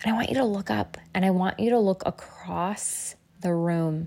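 A woman talks in a plain, everyday voice at a fairly slow pace. Her pitch is medium, with ordinary pitch variation. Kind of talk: guided meditation. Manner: slow, calm, soothing, with long pauses; gentle, directive, coaxing the listener along.

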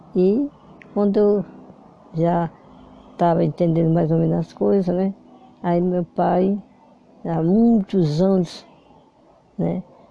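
A woman speaks very slowly in a fairly low, dark, mellow tone, with ordinary pitch variation. Her loudness stays very even, and long pauses come often. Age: 80s+. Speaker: grandmother telling life story. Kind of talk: casual chat. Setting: at home with granddaughter. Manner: halting.

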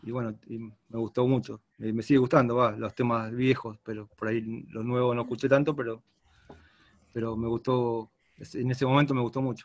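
A man with a medium-pitched voice talks fairly slowly, his intonation fairly even. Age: 50s. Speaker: rock guitarist. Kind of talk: interview.

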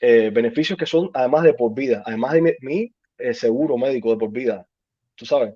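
A man talks with a normal speaking voice at a fairly high pitch. His pace is fairly quick and his intonation lively. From Cuba. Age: 30s. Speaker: army veteran. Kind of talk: interview.

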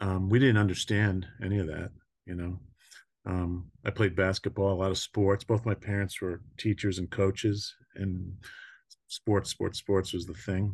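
Against a quiet background, a man speaks slowly in a fairly low, somewhat breathy voice. His intonation is monotone and flat. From US, New York (Long Island). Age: 60s. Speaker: mental health and addiction counselor. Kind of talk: podcast interview, life story.

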